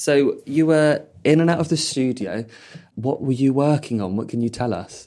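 A man's fairly high, dark, mellow voice in a southern English accent, at a moderate pace with ordinary pitch variation, on a very clean recording with a silent background. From Purley, south London. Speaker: podcast host. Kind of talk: casual chat.

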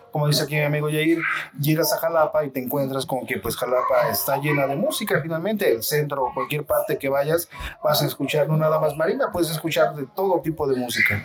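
Noticeable background noise under fairly quick talk with ordinary pitch variation. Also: man, fairly high pitch for a man. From Mexico, Xalapa, Veracruz. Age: 40s. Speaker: marimba musician. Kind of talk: interview. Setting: café theater venue, storm outside.

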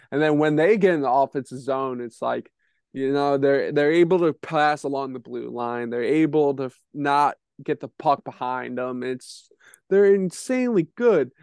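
A man's fairly high voice, an unremarkable speaking voice, at a moderate pace with ordinary pitch variation, dry and close with no echo, over a quiet background. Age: 20s. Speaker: hockey podcast co-host. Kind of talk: casual chat.

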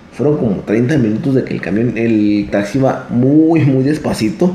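A man with lively intonation talks amid audible room echo and noticeable background noise. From Torreón, Coahuila, northern Mexico. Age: 20s. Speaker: vlogger. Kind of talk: storytelling monologue. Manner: halting, many fillers.

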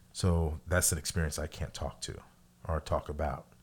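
The recording is very clean with a silent background. The voice, with an American accent, has vocal fry, monotone, flat intonation and a moderate pace. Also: man. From Missouri, US Midwest. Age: 40s. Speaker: podcast co-host. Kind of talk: casual conversational podcast.

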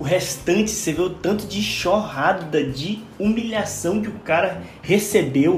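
A man's high-pitched voice at a fairly slow pace, with ordinary pitch variation and hardly any pauses, plus audible room echo and music in the background. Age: 40s. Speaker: podcast co-host. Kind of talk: casual chat.

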